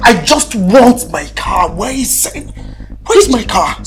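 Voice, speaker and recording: Angry shouting in a put-on character voice at a fairly slow pace over clear music in the background. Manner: shouting, angry.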